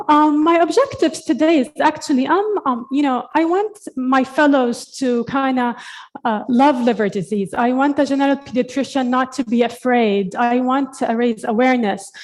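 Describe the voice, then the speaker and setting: With hardly any pauses, a woman talks at a high pitch with ordinary pitch variation. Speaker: pediatric hepatologist. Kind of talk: conference lecture. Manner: fast.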